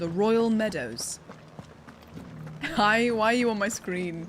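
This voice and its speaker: A woman with a British accent speaks at fairly high pitch and a fairly slow pace, with ordinary pitch variation. She leaves long, frequent pauses, and there is noticeable background noise. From England. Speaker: streamer and voice actor. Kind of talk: live gameplay stream chat. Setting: live stream. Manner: animated.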